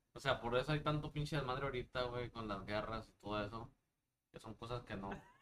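Talking at a fairly quick pace, a man has an unremarkable speaking voice. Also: medium pitch for a man, ordinary pitch variation. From Durango, Mexico. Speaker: musician. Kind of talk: casual chat.

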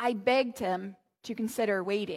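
A woman with an American accent and an ordinary speaking voice, fairly even intonation, on a very clean recording with a silent background. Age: 30s. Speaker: pastor. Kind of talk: sermon.

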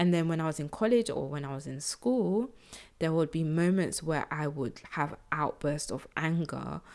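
On a very clean recording with a silent background, a woman speaks at a fairly slow pace in a very deep, low pitch. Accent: London. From South London, England. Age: 20s. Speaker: podcast host and social entrepreneur. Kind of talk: personal storytelling monologue.

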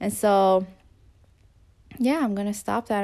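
The recording is very clean with a silent background, and an ordinary speaking voice carries ordinary pitch variation at a moderate pace. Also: woman. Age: 20s. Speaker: podcast host. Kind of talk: solo motivational monologue. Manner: casual, with fillers and laughs.

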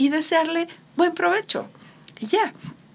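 A woman is speaking. Her pace is fairly slow. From Mexico. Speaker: radio host. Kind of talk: casual chat.

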